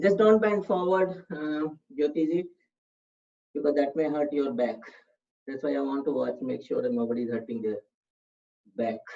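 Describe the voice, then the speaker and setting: The speaker has an Indian accent and keeps a moderate pace. Long pauses come often. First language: Hindi. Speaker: yoga instructor. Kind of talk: online fitness class instruction.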